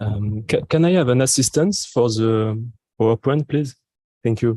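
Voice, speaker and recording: The voice has a dark, mellow tone at a moderate pace, with very even loudness, ordinary pitch variation and a dry, close sound with no echo. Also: man, medium pitch for a man. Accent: French. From France. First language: French. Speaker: geographer, academic. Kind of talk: conference presentation. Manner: halting.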